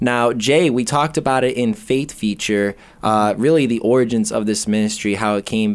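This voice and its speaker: Man at moderate pace, medium pitch, ordinary pitch variation, an ordinary speaking voice, very clean recording with a silent background. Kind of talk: casual interview chat. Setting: studio.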